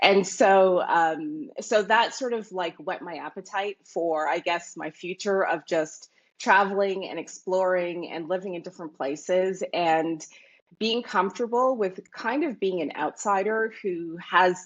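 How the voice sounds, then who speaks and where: In a Canadian accent, a woman of medium pitch talks at a moderate pace with ordinary pitch variation, an ordinary speaking voice. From Canada, Toronto. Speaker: Bitcoin commentator. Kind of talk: interview.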